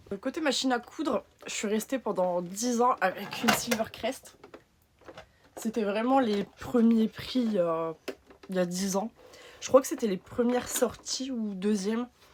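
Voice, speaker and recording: A woman speaks in a northern French accent with ordinary pitch variation and long, frequent pauses. Noticeable background noise can be heard. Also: fairly slow pace. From northern France. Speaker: patchwork maker and small business owner. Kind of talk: sewing machine review.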